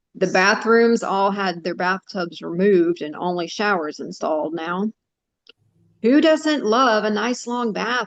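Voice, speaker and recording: Using an unremarkable speaking voice, a woman at a medium pitch talks at a fairly slow pace with lively intonation. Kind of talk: short story reading.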